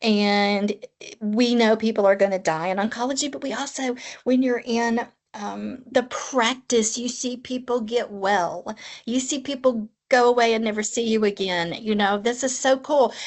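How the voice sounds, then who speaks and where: This woman talks at a moderate pace in a Tennessee accent. Her pitch sits fairly high, with ordinary variation. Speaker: oncology nurse practitioner. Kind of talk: podcast interview.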